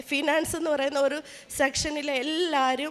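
A woman speaks in a high pitch. Noticeable background noise is present. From Kerala, Changanassery. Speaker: state government employee and athlete giving testimony. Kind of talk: religious testimony. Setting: shrine with audience of devotees.

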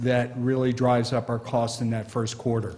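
The pace holds moderate. The speaker is a man. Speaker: presenter. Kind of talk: formal report presentation. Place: meeting room.

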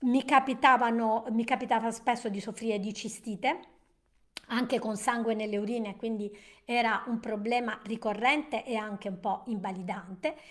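Over a quiet background, a woman speaks fairly slowly with a fairly high pitch and fairly even intonation in an ordinary speaking voice. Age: 60s. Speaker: nutrition and wellness educator; wellness educator. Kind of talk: live-stream presentation. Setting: live stream. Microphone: webcam.

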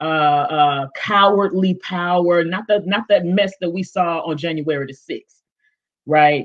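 A woman's fairly low voice at a slow pace, with ordinary pitch variation

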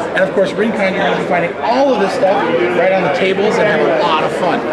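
A man talks at a fairly quick pace. Crowd noise fills the background. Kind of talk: promotional interview. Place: hall.

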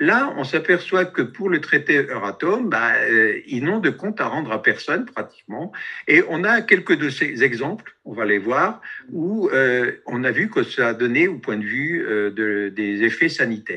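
Against a quiet background, the words come at a fairly slow pace. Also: man. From France. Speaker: activist, radiation protection researcher; webinar presenter. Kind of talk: presentation with slides. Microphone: video call.

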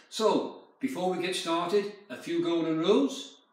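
Audible room echo around a man speaking at a fairly slow pace. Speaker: fitness instructor. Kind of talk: exercise class instruction. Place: home room.

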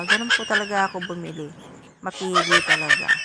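The voice has an enthusiastic tone over noticeable background noise. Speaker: vlogger. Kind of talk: vlog-style street food commentary, chatty sales-like patter to viewers. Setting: outdoors at a street food stall. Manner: animated, repetitive, cheerful, with catchphrases like 'o diba'; enthusiastic, relishing food, coaxing viewers to buy.

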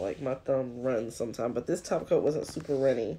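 A woman speaks at a very fast pace with a very deep, low pitch and lively intonation. Her tone is dark and mellow, with vocal fry. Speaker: nail tutorial youtuber. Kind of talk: tutorial. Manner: animated.

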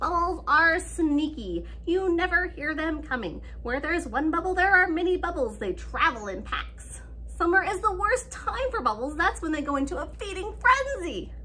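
A woman in a put-on character voice at a moderate pace, over clear background noise. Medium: read story. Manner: alarmed, conspiratorial, insistent.

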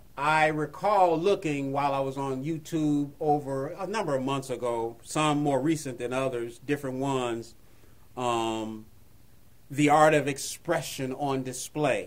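A man talks at a fairly slow pace in a normal speaking voice. His pitch is fairly high. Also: ordinary pitch variation. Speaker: lay preacher. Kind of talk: devotional monologue. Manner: conversational, rambling with fillers.

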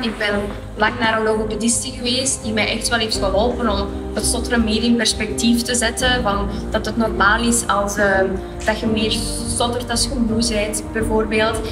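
Clear music sounds behind a woman who talks at a moderate speed. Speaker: marketeer. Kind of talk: interview answer. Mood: calm, reflective, gesturing. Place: studio. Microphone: lapel.

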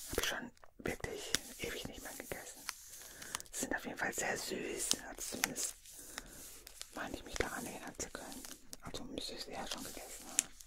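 Whispering in a gentle tone at a fairly quick pace, a woman is heard over loud background noise. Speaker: advent calendar unboxing host. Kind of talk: soft-spoken ASMR-style unboxing chat. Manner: gentle intimate whisper. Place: home room. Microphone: studio mic.

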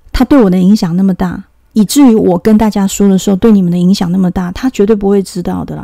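Speaking at a fairly quick pace, a woman has a somewhat breathy voice with a dark, mellow tone. Her pitch is medium for a woman. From Taiwan. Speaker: video channel host. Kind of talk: monologue commentary on politics and spirituality.

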